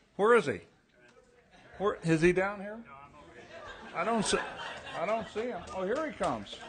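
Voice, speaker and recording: High-pitched male speech at a moderate pace with ordinary pitch variation and long, frequent pauses, amid audible room echo and crowd noise in the background. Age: 80s+. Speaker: award presenter, veteran writer. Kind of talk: awards ceremony speech. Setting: stage with audience. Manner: halting, repeating words.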